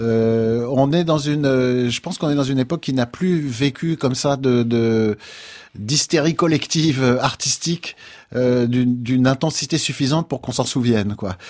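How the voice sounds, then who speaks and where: A man speaks in a normal speaking voice, medium-pitched with ordinary pitch variation, at a fairly slow pace. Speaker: jazz pianist. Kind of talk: interview.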